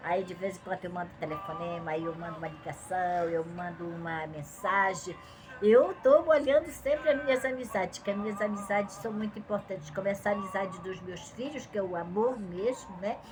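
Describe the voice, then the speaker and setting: With music in the background, a woman of medium pitch speaks at a moderate pace with hardly any pauses, lively intonation and big swings in loudness. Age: 70s. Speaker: Bible teacher. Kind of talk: religious teaching talk. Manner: conversational.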